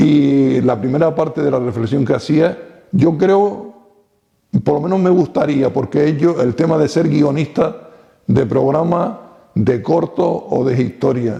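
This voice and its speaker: A man at a fairly slow pace, with lively intonation and very even loudness. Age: 60s. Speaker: retired local TV pioneer. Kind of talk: interview.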